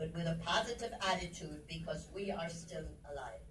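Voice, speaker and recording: Speaking at a fairly slow pace, a woman is heard with audible room echo. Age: 80s+. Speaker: motivational speaker. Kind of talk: inspirational talk.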